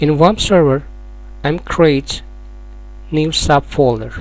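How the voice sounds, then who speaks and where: Noticeable background noise sits behind this recording. A man with a non-native accent speaks at a very slow pace. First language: not English. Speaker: software tutorial maker. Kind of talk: tutorial.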